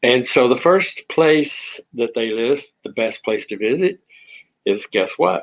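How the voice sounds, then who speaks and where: With a strong Texan accent, a man speaks at a very slow pace. His intonation is lively. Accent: thick Texan. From Texas. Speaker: online talk show host. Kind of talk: casual monologue. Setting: at home. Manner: hesitant, many fillers.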